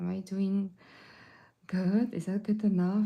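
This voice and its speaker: With a non-native accent, a woman speaks in a flat monotone, her medium-pitched voice dark, mellow and somewhat breathy. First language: not English. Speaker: watercolor artist and art teacher. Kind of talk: live painting tutorial. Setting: livestream. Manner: casual, hesitant with fillers.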